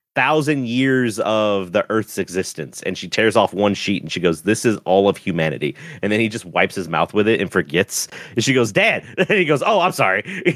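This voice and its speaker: In a dry, close sound with no echo, a man with a fairly low pitch talks at a fairly quick pace, his pitch swinging very widely. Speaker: podcast co-host. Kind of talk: casual chat. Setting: remote call recording.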